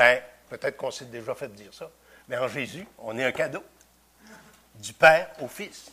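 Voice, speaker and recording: A man speaks at a fairly slow pace, pausing long and often. His loudness swings a lot. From Quebec (Victoriaville). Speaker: preacher. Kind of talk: sermon. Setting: church. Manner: halting.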